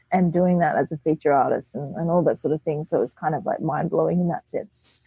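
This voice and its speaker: In an Australian accent, a woman talks at a very fast pace. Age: young. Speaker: burlesque performer. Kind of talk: interview.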